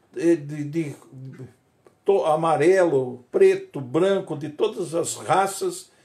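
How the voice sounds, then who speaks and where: A man talks at a very slow pace with a high pitch and ordinary pitch variation. His tone is dark and mellow, with audible room echo. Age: 70s. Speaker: pastor. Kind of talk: sermon. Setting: livestream. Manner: halting.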